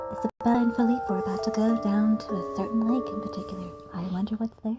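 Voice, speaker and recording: Whispering at a very fast pace, a woman speaks while music plays in the background. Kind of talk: casual intro to a game story playthrough. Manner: whispered.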